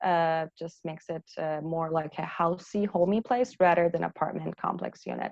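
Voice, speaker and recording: A woman with a fairly low pitch and ordinary pitch variation, moderate pace and hardly any pauses, in a dry, close sound with no echo. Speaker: architect giving a talk. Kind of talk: presentation with slides to an audience. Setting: festival talk with audience. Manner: hesitant, many fillers.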